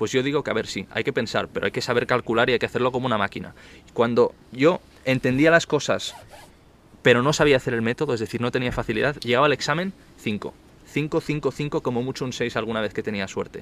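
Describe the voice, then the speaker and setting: A man at medium pitch with ordinary pitch variation and a fairly quick pace, an ordinary speaking voice, in a dry, close sound with no echo. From Barcelona, Spain. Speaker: interview guest, law student. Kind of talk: casual interview. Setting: outdoor terrace.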